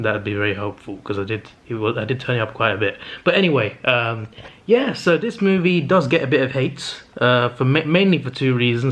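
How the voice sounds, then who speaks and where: Talking at a fairly quick pace, a man with a medium pitch speaks with a British accent. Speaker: movie reviewer vlogger. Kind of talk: casual vlog monologue. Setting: home, in a flat late at night. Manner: fast; stuttering.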